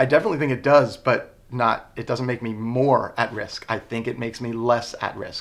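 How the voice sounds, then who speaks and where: In an American accent, a man speaks at medium pitch and a moderate pace, monotone with flat intonation. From US Northeast, Long Island, New York. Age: 20s. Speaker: interviewee with type 1 diabetes. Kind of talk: interview.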